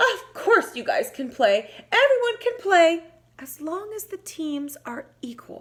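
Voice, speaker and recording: Using a squeaky, put-on character voice of extremely high pitch, a woman speaks at a fairly slow pace with very wide pitch swings and big swings in loudness. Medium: read story.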